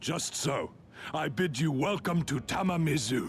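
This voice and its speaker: A man puts on a raspy character voice at a fairly high pitch. Background noise is clearly heard. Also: moderate pace. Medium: video game. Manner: courtly, formal.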